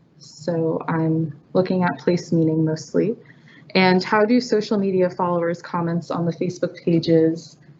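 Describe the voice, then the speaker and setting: A woman speaks quietly at a moderate pace. Her pitch is fairly low and her intonation fairly even. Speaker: graduate student researcher. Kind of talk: research presentation.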